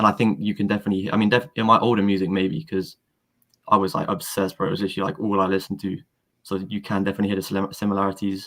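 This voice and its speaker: A man talks very fast in a fairly low voice with a London accent and ordinary pitch variation. The recording is very clean, with a silent background. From London, England. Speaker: rapper. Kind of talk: casual chat. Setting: live stream.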